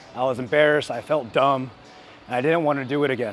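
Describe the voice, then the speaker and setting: With noticeable noise behind him, a man talks very fast in a fairly high voice. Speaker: bodybuilder and fitness influencer. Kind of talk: vlog advice talk while training. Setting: gym while training. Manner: excitable, tends to yell into the mic; stutters at times.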